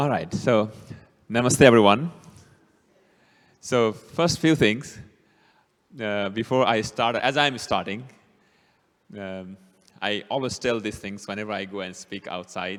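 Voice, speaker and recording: A man with a strong Bhutanese accent speaks at a fairly slow pace, his fairly low pitch showing ordinary variation. His loudness swings widely, and he leaves long, frequent pauses. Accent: strong Nepali-Bhutanese. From Bhutan, Nepali ethnicity. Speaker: city councilman, guest speaker. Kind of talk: talk to a church audience. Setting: church hall with small audience.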